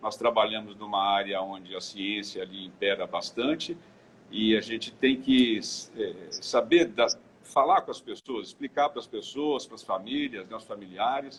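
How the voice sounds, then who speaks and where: Big swings in loudness mark a man's medium-pitched delivery. He talks at a fairly slow pace with ordinary pitch variation. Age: 60s. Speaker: clinical engineer. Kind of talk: interview. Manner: halting, many repetitions.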